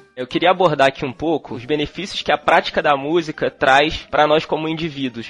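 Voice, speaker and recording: Music plays in the background as a man talks at a fairly quick pace with hardly any pauses. His fairly high pitch holds a fairly even intonation, and the sound is dry and close with no echo. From Brazil, Petrópolis, Rio de Janeiro state. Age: 30s. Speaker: podcast host and drummer. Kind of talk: casual chat.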